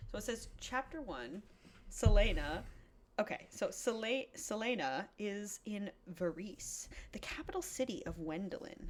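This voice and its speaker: A woman with a fairly high pitch talks at a fairly slow pace in an animated tone, with very wide pitch swings. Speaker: podcast co-host. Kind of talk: casual chat while drinking. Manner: loud. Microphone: new mic without gain control; too quiet, far from mic.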